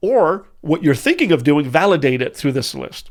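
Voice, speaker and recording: Fairly quick and fairly high-pitched, a man speaks. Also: very clean recording, silent background. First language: not English. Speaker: business coach. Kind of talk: tutorial. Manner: animated.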